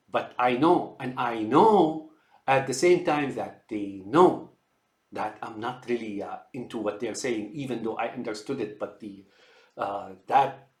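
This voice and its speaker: Speaking at a fairly slow pace, a man has a medium pitch and ordinary pitch variation. His loudness shows big swings. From outside the US. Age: 60s. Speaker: computer engineer sharing health observations. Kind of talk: unscripted monologue. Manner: halting, many fillers and repetitions.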